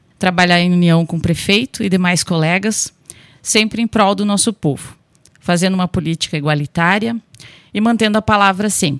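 A woman speaks with a plain, everyday voice at medium pitch and a moderate pace. Her pitch variation is ordinary, and the sound is dry and close with no echo. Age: 30s. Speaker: local election candidate, nursing technician. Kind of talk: radio interview, prepared campaign statement. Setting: radio studio.

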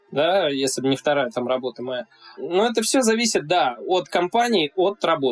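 High-pitched male voice with very wide pitch swings, dry and close with no echo, music playing in the background. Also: moderate pace. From Russia, Saint Petersburg. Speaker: YouTuber and athlete. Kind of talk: casual interview chat.

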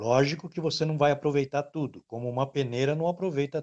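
This man speaks at a moderate pace. His pitch is fairly high. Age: 60s. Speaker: sports radio presenter. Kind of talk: casual interview chat.

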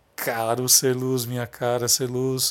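This is a man's voice. It sits at a medium pitch. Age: 40s. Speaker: lighting designer and podcast host. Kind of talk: motivational monologue. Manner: halting.

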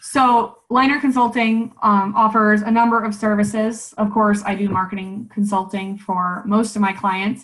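Speaking at a moderate pace with hardly any pauses, this is a plain, everyday voice with an American accent and fairly even intonation. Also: woman, fairly high pitch for a woman. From Nebraska, US Midwest. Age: 30s. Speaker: marketing consultant. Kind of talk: interview.

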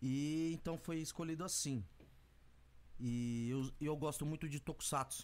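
Pausing long and often, a man talks fairly slowly in a fairly high pitch, keeping his intonation fairly even and his loudness very even. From Brazil, São Paulo east zone. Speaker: music producer and rapper. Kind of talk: casual interview.

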